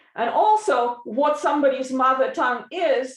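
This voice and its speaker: A woman speaks with a Russian accent at a fairly slow pace. Her intonation is lively. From Soviet Union, Eastern Europe. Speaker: linguist panelist. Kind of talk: academic presentation.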